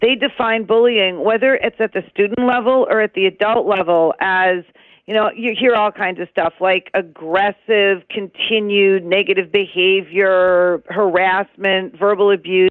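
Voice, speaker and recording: Hardly any pauses break up this woman's fairly slow delivery. She has a plain, everyday voice with fairly even intonation. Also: medium pitch for a woman. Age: 60s. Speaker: anti-bullying advocate and author. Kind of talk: interview.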